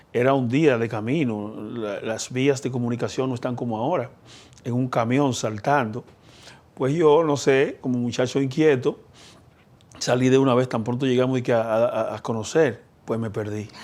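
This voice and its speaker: A man speaks at a moderate pace in a plain, everyday voice, with medium pitch and fairly even intonation. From Dominican Republic, Elías Piña. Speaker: politician, senator. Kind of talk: interview.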